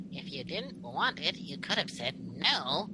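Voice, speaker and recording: A man's put-on character voice at a fairly slow pace, against loud background noise. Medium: read story. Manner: taunting.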